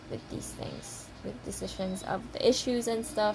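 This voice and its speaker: Speaking at a fairly slow pace with a non-native accent, a woman is heard over noticeable background noise. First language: not English. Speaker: fan vlogger. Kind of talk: casual vlog monologue. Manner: halting, stammering; rambling, emotional.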